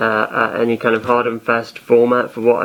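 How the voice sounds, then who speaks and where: Background noise is noticeable. A man speaks at a medium pitch and a fairly quick pace. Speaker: podcaster. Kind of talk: casual monologue. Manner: monotone; halting, many fillers.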